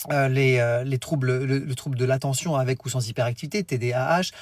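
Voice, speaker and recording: A somewhat breathy man at a fairly quick pace, on a very clean recording with a silent background. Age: 40s. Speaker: teacher trainer and education coach. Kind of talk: live stream talk to parents. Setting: live stream. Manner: fast.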